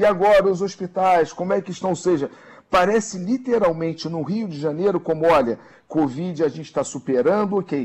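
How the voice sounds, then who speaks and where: Pitched high for a man, his voice keeps a moderate pace and ordinary pitch variation. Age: middle-aged. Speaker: social media analyst commentator. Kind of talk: radio news commentary.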